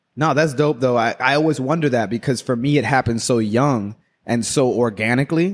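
This is a man with an ordinary speaking voice, medium in pitch, going at a fairly quick pace with ordinary pitch variation. His loudness stays very even in a very clean recording with a silent background. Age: 30s. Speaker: barber. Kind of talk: casual chat.

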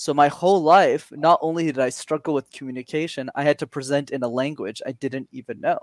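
A man with a Montreal accent and a fairly high pitch speaks at a fairly quick pace with hardly any pauses and ordinary pitch variation, in a dry, close sound with no echo. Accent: Canadian English, Montreal. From Montreal, Quebec. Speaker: communication coach. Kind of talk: interview. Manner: animated.

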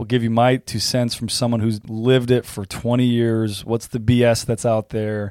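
A man's dark, mellow voice in a monotone, flat delivery at a moderate pace, with a dry, close sound with no echo and a very clean recording with a silent background. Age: 40s. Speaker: fitness coach and gym owner. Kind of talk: casual chat.

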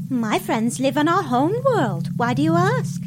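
A put-on character voice at a middle pitch and moderate pace. Loud background noise runs underneath. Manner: breezy, scheming.

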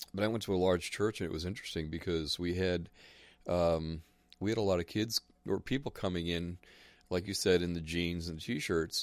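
On a very clean recording with a silent background, the speaker uses an American accent, fairly even intonation, and a moderate pace, with long, frequent pauses. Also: man. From New Jersey. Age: 60s. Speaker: radio broadcaster and narrator. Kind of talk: casual chat.

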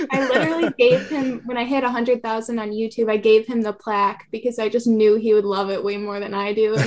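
A woman with a fairly high pitch speaks quietly at a fairly quick pace, her intonation fairly even. Noticeable background noise runs underneath. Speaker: content creator. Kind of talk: casual interview chat. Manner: monotone, quiet, chill.

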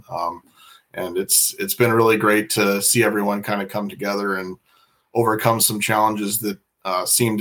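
A man with an American accent speaks at a fairly quick pace. He has a normal speaking voice at a fairly low pitch. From Iowa, US Midwest. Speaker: marine industry product manager. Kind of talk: interview on a live podcast.

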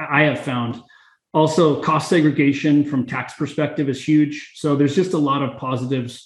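A man's somewhat breathy voice sits fairly high in pitch, with fairly even intonation. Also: moderate pace. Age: middle-aged. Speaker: real estate investor. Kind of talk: interview.

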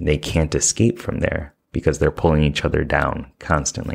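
Vocal fry runs through a man's very deep, low voice, which shows ordinary pitch variation. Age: 30s. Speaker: life coach and podcast host. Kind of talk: solo self-help talk. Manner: casual, with frequent fillers.

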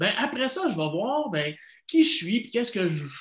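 At a moderate pace, a man with a Quebec accent speaks with very wide pitch swings. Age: 40s. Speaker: life coach. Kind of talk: interview.

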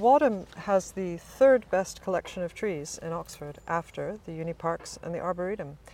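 A woman is speaking. She has an American accent. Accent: American, noticeable to English listeners. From US East Coast, Virginia suburbs. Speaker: college chaplain. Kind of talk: casual interview. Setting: chapel.

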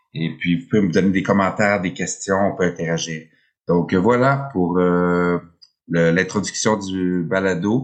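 Against a quiet background, a man with a Quebec accent speaks at a fairly slow pace, his pitch very deep and low with ordinary variation. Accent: Québécois French. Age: 50s. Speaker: podcast host. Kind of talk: solo podcast monologue, unscripted. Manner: hesitant, many fillers.

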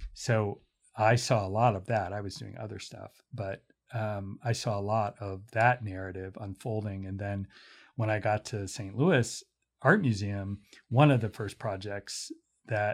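A man with an American accent speaks at a fairly slow pace in a fairly low, somewhat breathy voice. His intonation is fairly even, on a very clean recording with a silent background. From US, Pittsburgh. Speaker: museum director. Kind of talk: casual interview. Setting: in-person studio interview.

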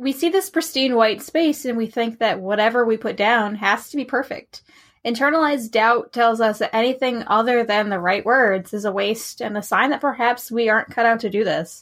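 A woman with an unremarkable speaking voice speaks at a moderate pace with hardly any pauses. Her pitch is fairly high, with ordinary variation. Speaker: fantasy and romance writer. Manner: encouraging, reassuring, lightly humorous.

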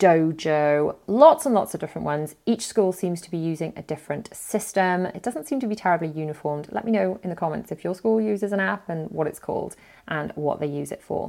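A dark, mellow voice with a British accent, fairly quick and with hardly any pauses, ordinary pitch variation, on a very clean recording with a silent background. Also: woman, fairly low pitch for a woman. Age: 40s. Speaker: parenting podcast host. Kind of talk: solo podcast advice talk.

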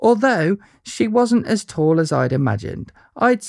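The text is read in an unforced voice.

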